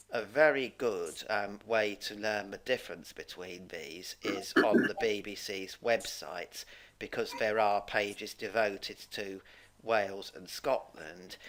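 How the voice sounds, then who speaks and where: A man with a British accent and fairly low pitch speaks at a fairly slow pace with ordinary pitch variation. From England, Cambridgeshire. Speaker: English teacher. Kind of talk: online Q&A lesson.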